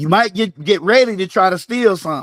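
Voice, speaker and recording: A man with a Southern US accent at a high pitch and moderate pace, in a very clean recording with a silent background. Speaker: fitness coach hosting a live game. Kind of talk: live-stream game hosting.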